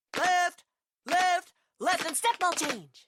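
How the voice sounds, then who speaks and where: Pitched extremely high, a put-on character voice does the talking. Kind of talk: dance-class commands. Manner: barking, commanding.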